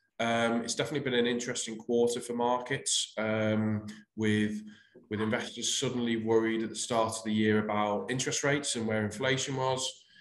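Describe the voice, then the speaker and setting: A man talks at a fairly quick pace in a flat, monotone way. The background is quiet, though some room echo can be heard. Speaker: presenter. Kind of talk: webinar presentation. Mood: calm, professional. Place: home room. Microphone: webcam.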